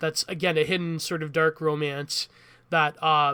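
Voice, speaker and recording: In a very clean recording with a silent background, a man with a fairly high pitch and a bright, sharp tone speaks at a moderate pace. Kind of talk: rambling monologue on meme culture. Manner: rambling, hesitant.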